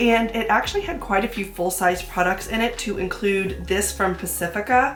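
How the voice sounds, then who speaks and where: A woman's medium-pitched voice with ordinary pitch variation, set against music in the background. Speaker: beauty YouTuber. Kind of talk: casual talk to camera.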